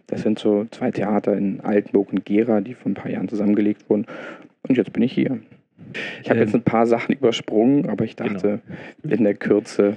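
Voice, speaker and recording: A man's fairly low voice, fairly even in intonation, with a dry, close sound and no echo. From Berlin, Germany. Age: 30s. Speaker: theatre dramaturg. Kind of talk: interview. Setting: in the theatre. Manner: halting, many fillers.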